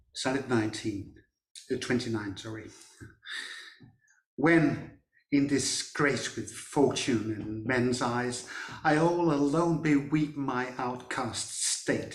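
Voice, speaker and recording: At a very slow pace, a man talks in a medium pitch with long, frequent pauses. Audible room echo surrounds his voice. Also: ordinary pitch variation. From Denmark. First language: Danish. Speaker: sonnet reader. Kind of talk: reading aloud.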